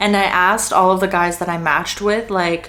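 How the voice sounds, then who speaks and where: A Canadian accent over noticeable background noise. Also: woman. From Canada, Greater Toronto Area. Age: 20s. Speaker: content creator. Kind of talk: casual Q&A vlog.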